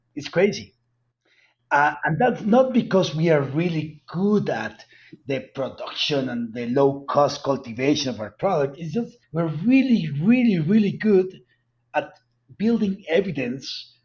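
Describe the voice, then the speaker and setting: Speaking at a moderate pace, a man with a strong Colombian accent uses lively intonation and a fairly high pitch. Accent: heavy Colombian Spanish. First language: Spanish. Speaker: cannabis company executive. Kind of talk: interview.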